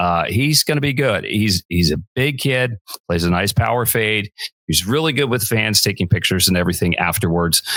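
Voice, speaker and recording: A man with a normal speaking voice talks at a moderate pace, fairly low in pitch with lively intonation. The sound is dry and close with no echo. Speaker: podcast host. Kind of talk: podcast talk.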